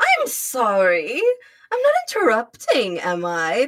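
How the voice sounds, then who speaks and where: In a put-on character voice with a British accent, a female-sounding voice speaks at a fairly slow pace in a fairly high pitch. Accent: faux British. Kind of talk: haughty. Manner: haughty.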